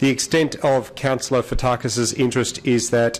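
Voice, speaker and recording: This man's delivery is monotone, with flat intonation. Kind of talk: formal reading of disclosures. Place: hall. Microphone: podium.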